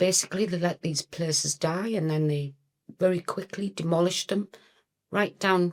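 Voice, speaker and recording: A woman with a slight northeast English accent speaks at a fairly low pitch with fairly even intonation. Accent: slight northeast English (Geordie-like). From northern England, County Durham. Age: 60s. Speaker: punk singer. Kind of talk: casual chat.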